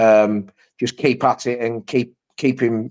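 A man's medium-pitched voice comes out monotone and flat. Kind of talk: casual football chat.

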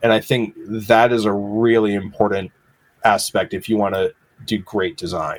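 The speaker has an American accent and a plain, everyday voice. Pitch varies in an ordinary way at a moderate pace. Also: man, fairly low pitch for a man. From Massachusetts, rural. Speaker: graphic designer and illustrator. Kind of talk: casual interview. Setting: video call.

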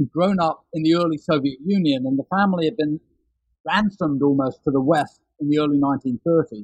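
Heard in a dry, close sound with no echo, a man with a British accent and a fairly high pitch speaks at a fairly quick pace. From London, England. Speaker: author. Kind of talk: interview.

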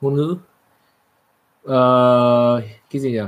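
A man talks very slowly, his medium pitch showing ordinary pitch variation. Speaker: co-host, computer science background. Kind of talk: casual livestream chat. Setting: livestream.

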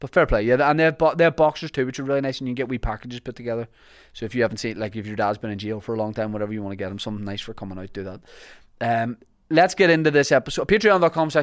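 Speaking very fast at a medium pitch, a man with a Northern Irish accent uses lively intonation and big swings in loudness. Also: very clean recording, silent background. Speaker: podcast host and comedian. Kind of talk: podcast intro and ad reads.

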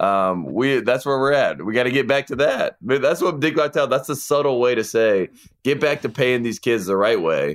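With a Southern US accent, a man at medium pitch talks at a moderate pace with very even loudness, on a very clean recording with a silent background. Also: ordinary pitch variation. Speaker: sports podcast co-host. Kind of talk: casual chat. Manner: mumbles.

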